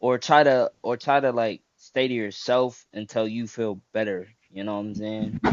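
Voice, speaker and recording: A man with an unremarkable speaking voice talks at a moderate pace and medium pitch. His intonation is fairly even, with hardly any pauses. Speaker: interviewee giving advice. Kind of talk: casual chat.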